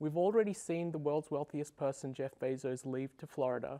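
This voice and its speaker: A man with an Australian accent, fairly high in pitch and dark and mellow in tone, at a fairly quick pace, dry and close with no echo. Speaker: software engineer, debate panelist. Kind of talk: televised debate. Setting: TV studio.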